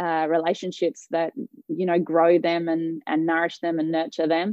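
A woman speaks at a low pitch with a dark, mellow tone, and the sound is dry and close with no echo.

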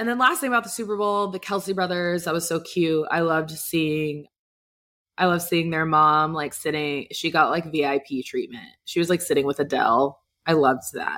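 On a very clean recording with a silent background, a woman with an American accent speaks at a moderate pace in an animated, bright, sharp tone, with a fairly low pitch and ordinary pitch variation. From Texas, Dallas. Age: 20s. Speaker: podcast host. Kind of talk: casual chat.

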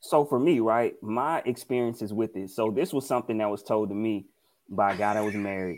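A man talks at a fairly quick pace with a Mississippi accent. The recording is very clean, with a silent background. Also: medium pitch for a man, ordinary pitch variation. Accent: Southern US (Mississippi). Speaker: podcast co-host. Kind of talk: casual chat.

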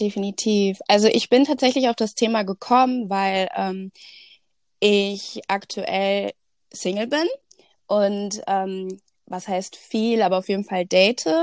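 In a very clean recording with a silent background and a dry, close sound with no echo, a woman speaks at a very slow pace with fairly even intonation and long, frequent pauses. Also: medium pitch for a woman. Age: 20s. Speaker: social media influencer. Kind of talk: casual chat.

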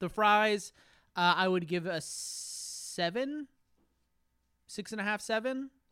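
A man's high, raised and projected voice with a bright, sharp tone, very slow with long, frequent pauses and ordinary pitch variation, in a very clean recording with a silent background. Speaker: podcast co-host. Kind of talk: casual banter.

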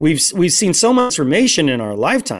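On a very clean recording, with a silent background, a man is talking. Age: 40s. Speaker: Apache drummer and guest speaker. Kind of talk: casual interview.

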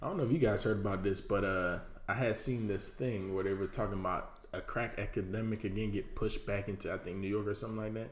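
Delivered in an American accent, the speech runs very fast with hardly any pauses. Intonation stays fairly even amid audible room echo. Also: man, fairly low pitch for a man. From Miami, Florida. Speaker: podcast co-host. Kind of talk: casual chat.

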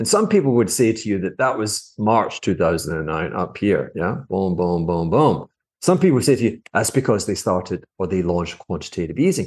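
A man's fairly low, plain, everyday voice, with lively intonation, a moderate pace and hardly any pauses. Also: quiet background. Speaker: finance commentator. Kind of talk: critical commentary on a video clip. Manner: sarcastic, critical.

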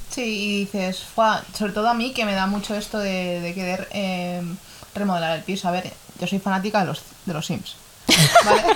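Over noticeable background noise and with audible room echo, a woman speaks at a moderate pace in a medium pitch with fairly even intonation. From Ecuador. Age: 20s. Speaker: podcast co-host. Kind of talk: casual chat.

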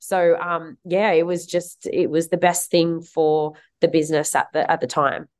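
An ordinary speaking voice, a woman's, fairly low in pitch, fairly even intonation, moderate pace, quiet background. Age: 30s. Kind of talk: interview.

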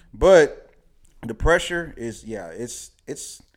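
Very slowly, a man speaks with vocal fry and very wide swings in pitch. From Nashville, Tennessee. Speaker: podcast guest. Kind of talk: casual chat.

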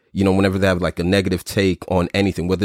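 A man with a very deep, low voice and a New York accent, dry and close with no echo, on a very clean recording with a silent background. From US Northeast (Brooklyn, New York). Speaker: podcast host. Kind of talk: casual chat. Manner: animated.

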